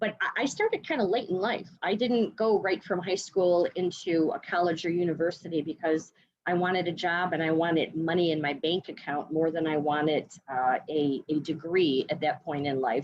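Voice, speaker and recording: Noticeable background noise sits behind a woman with a fairly low pitch and ordinary pitch variation. She keeps a moderate pace and very even loudness. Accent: Chicago. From US Midwest, Chicago. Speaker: education sales partner. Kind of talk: interview. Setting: video call.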